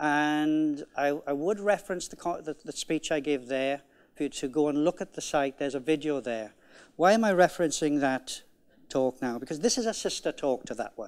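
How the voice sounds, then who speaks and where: A man with a Welsh accent speaks at a moderate pace and fairly high pitch. The recording is very clean, with a silent background. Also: ordinary pitch variation. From Wales. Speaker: conference keynote speaker, management coach. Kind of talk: conference keynote talk.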